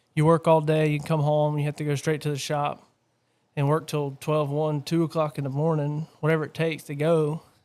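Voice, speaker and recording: On a very clean recording with a silent background, a man with a fairly high pitch talks at a fairly quick pace in a monotone, flat intonation. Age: 30s. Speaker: stock car racer and business owner. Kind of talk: casual chat. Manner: hesitant, filler-heavy.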